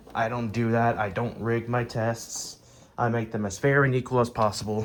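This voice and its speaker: With noticeable background noise behind him, a man speaks at a moderate pace in a medium pitch and a monotone, flat intonation. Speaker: vacuum reviewer. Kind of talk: product demo. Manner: casual.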